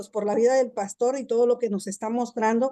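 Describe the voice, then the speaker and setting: A woman's fairly high voice, dark and mellow in tone, with monotone, flat intonation. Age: 60s. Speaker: class participant sharing testimony. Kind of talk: testimony. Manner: halting.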